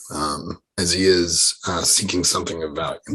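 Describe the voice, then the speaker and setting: A man puts on a raspy character voice, pitched very deep and low. He keeps a moderate pace and a monotone, flat intonation. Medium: actual play. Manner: evasive, formal.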